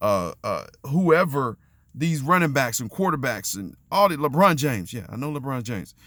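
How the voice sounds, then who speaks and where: This man speaks loudly at a moderate pace, his pitch fairly high and swinging very widely. His tone is bright and sharp, in a very clean recording with a silent background. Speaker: faith and relationships vlogger. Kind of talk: motivational monologue. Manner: halting.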